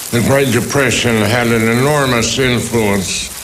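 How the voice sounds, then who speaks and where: A man talks at a fairly slow pace with a medium pitch and fairly even intonation. Noticeable background noise and audible room echo surround his voice. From rural US. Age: 80s+. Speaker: interviewee in documentary. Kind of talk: interview testimony.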